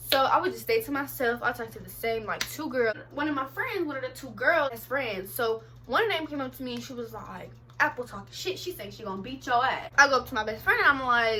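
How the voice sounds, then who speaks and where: A woman speaks fairly quickly in a high pitch, her voice raised and projected with lively intonation. Her loudness swings widely, and there is noticeable background noise. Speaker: vlogger. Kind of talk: storytelling vlog. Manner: fast; animated.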